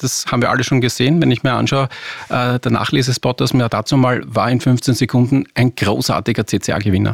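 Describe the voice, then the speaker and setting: In an ordinary speaking voice, a man talks at a fairly quick pace and medium pitch, with a dry, close sound and no echo. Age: 40s. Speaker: advertising agency executive. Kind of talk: interview.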